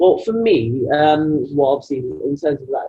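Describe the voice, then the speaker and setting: A man at a moderate pace with ordinary pitch variation, with music in the background. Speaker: grime artist. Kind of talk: casual interview. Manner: hesitant, many fillers.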